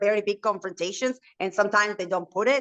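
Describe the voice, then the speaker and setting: With a Spanish accent, a woman speaks at a fairly high pitch with ordinary pitch variation. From Argentina, Buenos Aires. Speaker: reality TV personality and entrepreneur. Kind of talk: interview. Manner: talkative, fast.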